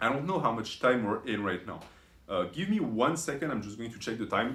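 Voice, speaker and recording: A man talks at a fairly quick pace with medium pitch. His loudness swings widely. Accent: non-native. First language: not English. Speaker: YouTube commentator. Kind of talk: commentary video monologue. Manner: frequent fillers and self-corrections.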